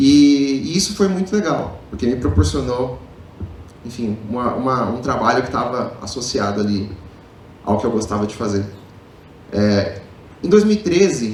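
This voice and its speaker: Amid noticeable background noise and audible room echo, a man speaks at a moderate pace with very wide pitch swings. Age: 30s. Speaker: public speaker, marketing executive. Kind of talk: motivational talk. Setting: stage with audience.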